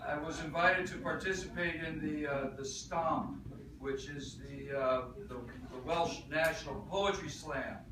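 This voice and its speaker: Noticeable background noise sits behind a man with a fairly high pitch. He talks at a fairly slow pace with fairly even intonation. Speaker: slam poet. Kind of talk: live poetry talk and performance.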